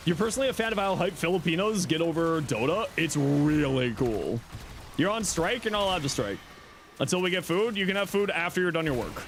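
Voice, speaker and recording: Very fast speech at very even loudness, with a slight Canadian accent, lively intonation, and noticeable background noise. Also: man, high pitch for a man. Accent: slight Canadian accent, shows on 'out'. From Southern Ontario, Canada. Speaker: gaming streamer. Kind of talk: live stream chat while gaming. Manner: casual, many filler words.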